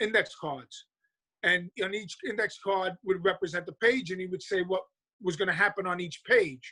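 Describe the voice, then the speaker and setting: Raised and projected, a man's high, bright, sharp voice with a New York accent carries at a moderate pace with ordinary pitch variation, in a dry, close sound with no echo. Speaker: comic book writer. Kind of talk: interview. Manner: halting, many fillers and restarts.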